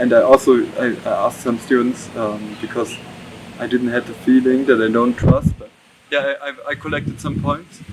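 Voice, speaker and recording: Speaking at a moderate pace with fairly even intonation and a medium pitch, a man is heard over noticeable background noise. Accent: German. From Germany. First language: German. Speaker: exchange student. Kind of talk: interview. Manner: halting.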